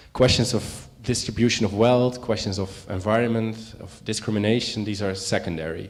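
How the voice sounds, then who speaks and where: A man with a fairly low pitch and fairly even intonation is heard with audible room echo. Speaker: panel speaker. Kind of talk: lecture. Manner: fast; halting.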